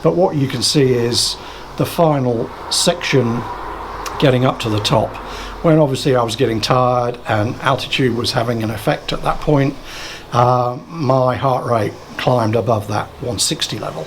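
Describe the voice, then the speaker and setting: Noticeable background noise sits behind a man speaking at a moderate pace. His pitch is medium, with ordinary pitch variation. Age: 60s. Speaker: cycling vlogger. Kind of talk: tutorial. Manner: halting.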